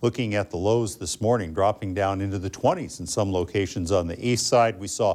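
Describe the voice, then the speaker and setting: With an ordinary speaking voice, a man speaks at a moderate pace and a fairly low pitch, captured in a very clean recording with a silent background. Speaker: weather forecaster / meteorologist. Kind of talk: television weather forecast.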